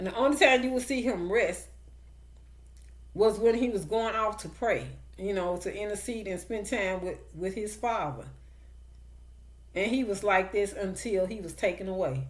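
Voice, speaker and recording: With a slight country accent and vocal fry, a woman speaks with long, frequent pauses amid audible room echo. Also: medium pitch for a woman, ordinary pitch variation, moderate pace. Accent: slight country twang. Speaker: online preacher. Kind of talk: sermon. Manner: emphatic, repetitive.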